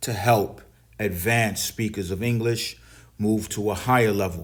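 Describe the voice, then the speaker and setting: A man's medium-pitched voice with a New York accent, at a moderate pace. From New York City. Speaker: English teacher. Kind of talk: English lesson reading and explaining newspaper articles.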